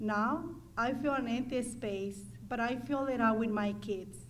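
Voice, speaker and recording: Somewhat breathy and fairly high in pitch, a woman with a Mexican accent speaks slowly and with fairly even intonation, with audible room echo around her. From Mexico. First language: Spanish. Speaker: adult student. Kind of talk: testimony.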